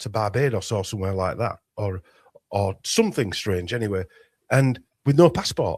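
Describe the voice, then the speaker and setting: A man with a Yorkshire accent, somewhat breathy, at a moderate pace with lively intonation. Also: very clean recording, silent background. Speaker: conspiracy researcher. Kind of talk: casual interview chat. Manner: halting, many restarts.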